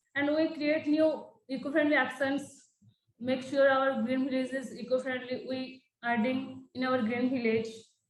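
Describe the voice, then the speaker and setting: A high-pitched woman speaks with monotone, flat intonation. Audible echo fills the room. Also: moderate pace. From India (Odisha). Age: 20s. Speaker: youth trainee at an NGO. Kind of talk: testimony. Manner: halting.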